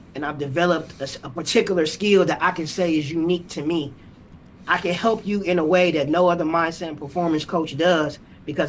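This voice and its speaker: With an American accent, a man talks in a high pitch with fairly even intonation. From Ohio, US Midwest. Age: 40s. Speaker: mindset and performance coach. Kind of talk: podcast interview.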